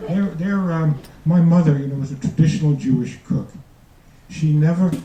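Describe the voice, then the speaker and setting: A man with a fairly high pitch and a New York accent speaks at a moderate pace, with audible room echo. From New York, the Bronx. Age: 70s. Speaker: retired doctor, amateur comedian. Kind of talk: stand-up. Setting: stage with audience. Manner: halting.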